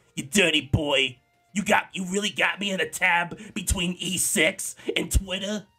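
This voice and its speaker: Faint music plays behind a man doing a put-on character voice, high-pitched and fairly even in intonation. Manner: scolding, nagging.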